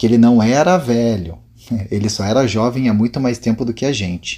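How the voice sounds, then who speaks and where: Dark, mellow tone from a man at medium pitch, with ordinary pitch variation and a moderate pace. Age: 30s. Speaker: fitness instructor. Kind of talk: interview.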